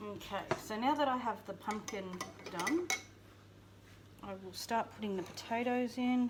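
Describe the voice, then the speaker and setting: Speaking with an Australian accent at a moderate pace, a woman with a fairly high pitch and ordinary pitch variation leaves long, frequent pauses, with noticeable background noise behind her. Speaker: homestead vlogger. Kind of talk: cooking tutorial. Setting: home kitchen.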